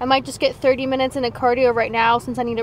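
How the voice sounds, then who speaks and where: A high-pitched woman's voice, dry with no echo, over light background noise. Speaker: fitness vlogger. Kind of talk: casual vlog chat. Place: car. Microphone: lapel.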